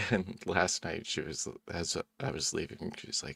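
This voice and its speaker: The voice is quiet and moves at a moderate pace. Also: man. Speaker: video channel creator, podcast co-host. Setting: home recording, microphone. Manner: quiet, speaking close to the microphone.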